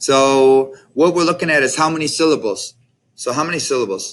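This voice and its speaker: This is a man speaking. He has a Mexican accent. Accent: Spanish with a Mexican-sounding. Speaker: Spanish teacher. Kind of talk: classroom tutorial. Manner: casual, hesitant with fillers.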